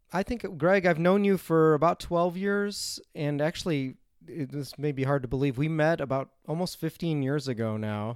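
A normal speaking voice with lively intonation at a moderate pace, dry and close with no echo on a very clean recording with a silent background. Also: man. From US Midwest, Chicago. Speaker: philosophy lecturer, podcast co-host. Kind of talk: casual academic discussion.

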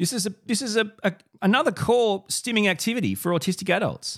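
Here a man with an Australian accent speaks in an animated tone. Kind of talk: solo video podcast monologue.

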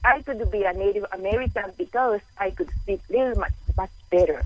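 A woman's fairly high voice with lively intonation. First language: not English. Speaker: caller, caregiver and newly certified coach. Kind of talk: phone-in conversation. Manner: deliberately slow and clear; halting, with fillers.

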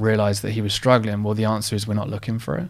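A man speaks with fairly even intonation. His pitch is fairly low. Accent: Essex. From Essex, England. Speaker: mental health advocate and company founder. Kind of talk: interview conversation.

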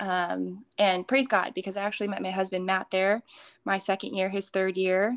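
In a very clean, dry, close recording with no echo and a silent background, a woman with an American accent speaks in a monotone, flat way. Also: medium pitch for a woman, moderate pace. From Minnesota. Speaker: fitness coach and retreat speaker. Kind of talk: casual interview with faith testimony.

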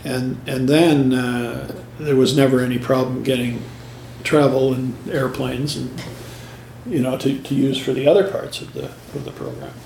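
Noticeable background noise sits under a man speaking at a moderate pace with a Canadian accent. His pitch is medium and his intonation fairly even. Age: 70s. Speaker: music teacher and choir director. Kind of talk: interview recollection. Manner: halting, many fillers.

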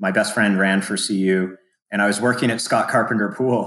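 Over a quiet background, a man with an American accent uses a normal speaking voice, moderate in pace, with fairly even intonation. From US, small oil and gas town. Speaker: endurance coach and former Olympic triathlete. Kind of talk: casual interview chat.

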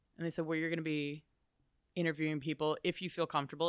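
On a very clean recording with a silent background, a woman with an American accent speaks in a very deep, low, monotone voice. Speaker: roller derby skater, bartender and wrestling fan. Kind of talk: casual interview chat. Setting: in person, in a wrestling shop.

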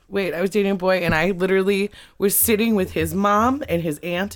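A woman with a fairly low pitch speaks in an animated tone at a fairly quick pace. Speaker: comedian. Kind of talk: casual chat.

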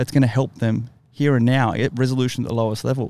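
Speaking very fast, a man with an Australian accent has a medium-pitched voice with a dark, mellow tone. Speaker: military veteran podcast host. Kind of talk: casual chat.

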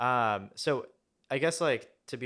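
This man has a plain, everyday voice pitched in the medium range, with ordinary pitch variation. The recording is very clean, with a silent background. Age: 20s. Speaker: pop musician. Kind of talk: interview. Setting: in-person studio table.

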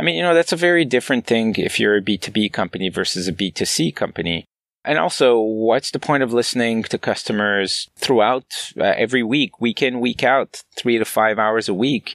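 A man with a plain, everyday voice and medium pitch talks at a fairly quick pace with hardly any pauses and lively intonation, the very clean recording giving a dry, close sound with no echo over a silent background. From Canada. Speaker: product management consultant. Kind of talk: interview.

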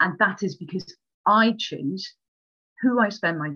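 In a Welsh accent, a woman talks at a fairly slow pace with a bright, sharp tone and ordinary pitch variation. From Wales. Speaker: librarian and former coaching client. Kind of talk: casual interview chat.

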